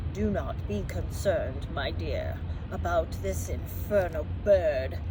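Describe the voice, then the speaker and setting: Loud background noise sits behind a put-on character voice. The pace is fairly slow. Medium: read story. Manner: snorting, snobbish.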